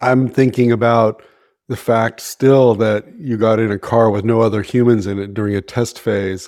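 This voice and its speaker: A man with an American accent speaks in a flat monotone at a moderate pace on a very clean recording with a silent background. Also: medium pitch for a man. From US, San Francisco Bay Area. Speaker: podcast co-host. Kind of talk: casual chat.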